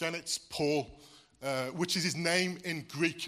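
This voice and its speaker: With a slight Welsh accent, a man speaks in a bright, sharp tone at a high pitch, with fairly even intonation and a fairly slow pace, in a very clean recording over a silent background. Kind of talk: sermon.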